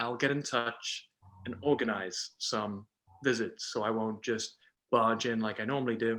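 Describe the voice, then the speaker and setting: A man in an English accent, medium in pitch, with a bright, sharp tone, flat monotone intonation and a moderate pace. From England. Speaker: actor. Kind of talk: interview.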